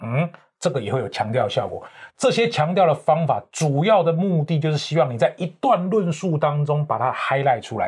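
The delivery moves at a moderate pace with lively intonation. The background is quiet. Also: man, fairly high pitch for a man. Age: 50s. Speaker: professional corporate trainer and author. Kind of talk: interview.

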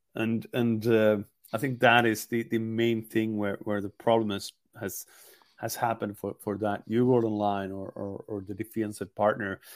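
Speaking with a Swedish accent, a man keeps a fairly low pitch, monotone, flat intonation and a moderate pace in a dry, close sound with no echo. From Sweden, Gothenburg. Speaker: hockey journalist. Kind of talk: podcast interview. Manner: halting, many repetitions.

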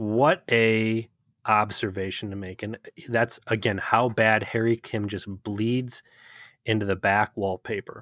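Speaking with an Ohio accent, a man uses a fairly low pitch and monotone, flat intonation at a fairly slow pace, his loudness swinging widely in a very clean recording with a silent background and a dry, close sound with no echo. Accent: Ohio, says fur for for. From US Midwest, Ohio. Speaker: podcast co-host. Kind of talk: casual chat.

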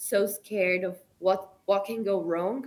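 This woman has a medium pitch and speaks in a Brazilian Portuguese accent. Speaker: travel content creator and photographer. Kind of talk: casual interview.

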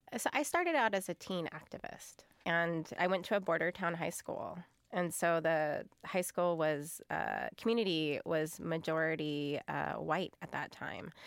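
Speaking at a fairly slow pace, a woman with a fairly low pitch, vocal fry and ordinary pitch variation comes through on a very clean recording with a silent background. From US Great Plains, Pine Ridge Reservation, South Dakota. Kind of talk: interview conversation.

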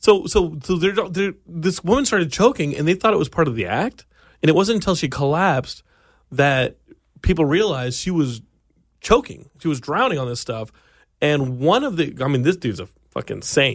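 A man's fairly high voice with very wide pitch swings, on a very clean recording with a silent background. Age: 30s. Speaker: podcast host. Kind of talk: casual chat. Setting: studio. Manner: fast; mumbling.

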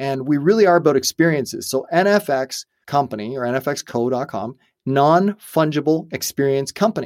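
A man's ordinary speaking voice, fairly high and fairly quick, with ordinary pitch variation, in a very clean recording with a silent background and a dry, close sound with no echo. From Canada. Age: 40s. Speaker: entrepreneur and company founder. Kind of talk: interview conversation. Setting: studio.

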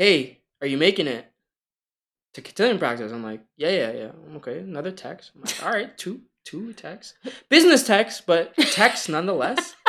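At a moderate pace, a man speaks with a bright, sharp tone. His pitch swings very widely. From Canada. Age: 20s. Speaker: boyfriend guest. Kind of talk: casual chat. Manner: joking, laid-back.

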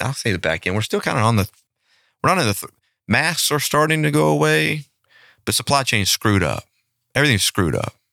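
A man's bright, sharp voice at a very fast pace, with vocal fry, very wide pitch swings and long, frequent pauses, in a very clean recording with a silent background. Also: medium pitch for a man, dry, close sound with no echo. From Louisiana, Shreveport. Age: 40s. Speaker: butcher shop owner. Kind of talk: interview.

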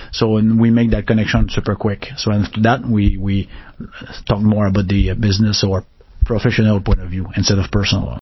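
A man speaks in a flat monotone with a French Canadian accent, his fairly low voice somewhat breathy and his pace fairly quick. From Quebec, northern region. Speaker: technology executive. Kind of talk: interview. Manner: fast; halting.

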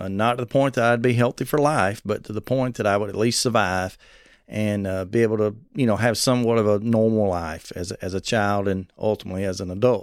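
A man talks at a fairly quick pace with a Southern US accent and a fairly low voice. The recording is very clean with a silent background. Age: 40s. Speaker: preacher and transplant advocate. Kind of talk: interview. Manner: youthful-sounding.

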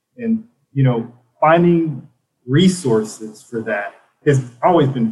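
A man's somewhat breathy voice with an American accent, fairly high in pitch, with very wide pitch swings. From South Carolina upstate, Spartanburg. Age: 30s. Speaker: Army veteran and nonprofit co-founder. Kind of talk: casual interview.

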